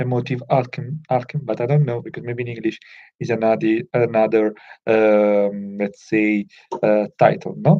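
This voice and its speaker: A man is speaking. He has a non-native accent. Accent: non-native English speaker. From Italy. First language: Italian. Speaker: self-improvement vlogger. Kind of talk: casual talk to camera. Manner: halting, many fillers.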